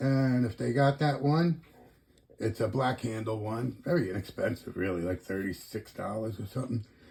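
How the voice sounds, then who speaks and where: Somewhat breathy and lively in intonation, a man talks at a moderate pace and medium pitch. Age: 60s. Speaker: knife collector YouTuber. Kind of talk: casual show-and-tell video. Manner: relaxed, rambling with fillers.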